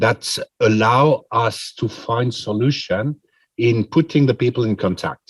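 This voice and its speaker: A man speaks at a very slow pace. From Switzerland. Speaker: president of international pharmacy federation. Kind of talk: press conference answer. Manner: halting, many fillers.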